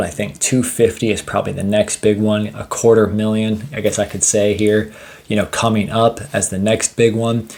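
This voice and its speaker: This man talks in an enthusiastic tone with hardly any pauses. His pitch sits fairly low. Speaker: finance YouTuber. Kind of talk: casual investing vlog. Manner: fast.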